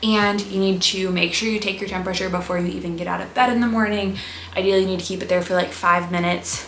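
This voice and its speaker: A woman talks at a very fast pace with a medium pitch. Noticeable background noise and audible room echo surround her voice. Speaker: health and wellness youtuber. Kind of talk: casual educational vlog. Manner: animated.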